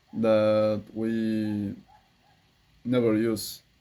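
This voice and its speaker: A man's dark, mellow voice at a medium pitch, with a Spanish accent and monotone, flat intonation. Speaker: English learner vlogger. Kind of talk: practice monologue. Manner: halting.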